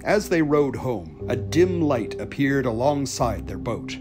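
Over music in the background, a man with a medium pitch speaks at a moderate pace with lively intonation. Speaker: storyteller and author. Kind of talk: folklore storytelling.

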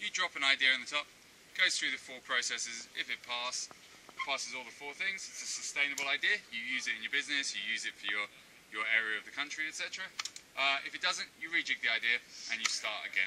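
A man speaks at a very fast pace over light background noise. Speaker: zipline tour guide. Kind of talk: tour guide explanation to a group. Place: forest. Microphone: camera far.

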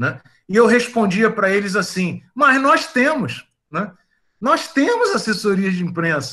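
A man uses a raised, projected voice at a high pitch, with very wide pitch swings and a bright, sharp tone. He speaks at a fairly slow pace against a quiet background. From Bahia, Brazil. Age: 50s. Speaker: chemical engineering professor. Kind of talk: casual chat. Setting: video call. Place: home room. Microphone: video call.

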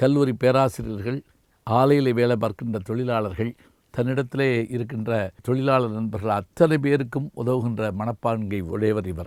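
In a very clean recording with a silent background and a dry, close sound with no echo, a man talks in an unremarkable speaking voice at a medium pitch with ordinary pitch variation. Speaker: retired Tamil professor and orator. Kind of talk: memorial tribute. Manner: measured, formal.

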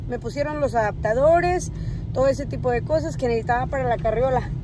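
The recording is dry with no echo. A woman speaks over noticeable background noise. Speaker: vlogger. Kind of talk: casual vlog chat. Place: car. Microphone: phone near.

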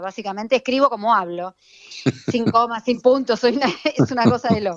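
An unremarkable speaking voice moves at a moderate pace with ordinary pitch variation, recorded dry and close with no echo. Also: woman. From Buenos Aires, Argentina. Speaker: fashion influencer, accountant. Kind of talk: casual interview. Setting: remote call.

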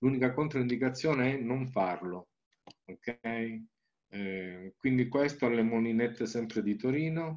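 This man has an unremarkable speaking voice at medium pitch, with ordinary pitch variation and a fairly slow pace. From Calabria, southern Italy. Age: 60s. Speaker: naturopath and Reiki teacher; Reiki teacher. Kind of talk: presentation with slides. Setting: video call. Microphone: webcam.

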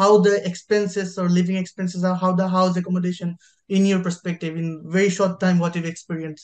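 Over a quiet background, a man with a high pitch talks at a very fast pace in a monotone, flat intonation. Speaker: podcast host. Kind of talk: casual chat. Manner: halting. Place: home room. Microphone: video call.

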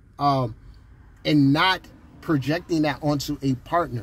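Somewhat breathy, with a fairly high pitch, a man talks at a moderate pace in a dry sound with no echo. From Jamaica. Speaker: astrologer. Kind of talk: casual monologue video. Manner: conversational, filler-heavy. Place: car. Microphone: phone near.

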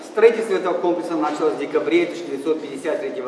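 Recorded with audible room echo and light background noise, a man speaks at a fairly quick pace in a high pitch with ordinary pitch variation. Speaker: museum tour guide. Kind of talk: guided tour narration. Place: tunnel cave. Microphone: camera far.

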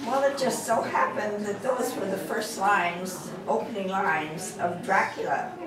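Noticeable background noise and audible room echo surround a woman who speaks with hardly any pauses and ordinary pitch variation. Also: medium pitch for a woman, moderate pace. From Hollywood, California. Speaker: retired silent-era film actress. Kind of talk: interview answer. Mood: warm, reminiscing. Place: meeting room.

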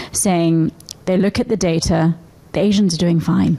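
This woman's voice sits fairly low and moves at a moderate pace. It is an unremarkable speaking voice with fairly even intonation. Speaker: audience member asking question; audience member. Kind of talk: audience question. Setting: stage with audience. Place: stage. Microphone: podium.

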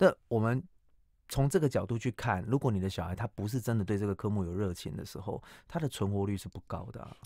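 Over a quiet background, a man speaks very fast at a fairly low pitch, with a dark, mellow tone, ordinary pitch variation and a dry sound with no echo. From Taiwan. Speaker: cram school English teacher and author; cram school English teacher. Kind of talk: radio interview. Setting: radio studio. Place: studio. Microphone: studio mic.

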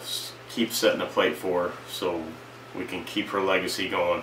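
A man's low-pitched voice, bright and sharp in tone, with audible room echo

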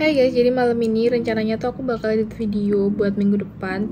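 A woman rattles off her words very fast against noticeable background noise. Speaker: vlogger. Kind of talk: casual vlog chat. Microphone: phone near.

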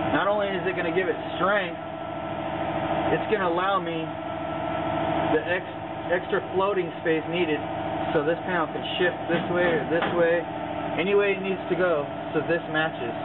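A man talks at a moderate pace, stopping often for long pauses. Loud noise fills the background. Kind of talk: tutorial. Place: garage. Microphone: phone near.

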